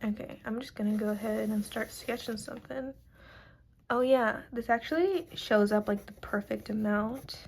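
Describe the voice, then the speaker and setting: Somewhat breathy and fairly high in pitch, a woman speaks at a moderate pace with ordinary pitch variation and big swings in loudness. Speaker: art YouTuber. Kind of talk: casual draw-along chat. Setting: at home, late at night. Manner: alternates normal voice and whispering; casual, filler-heavy.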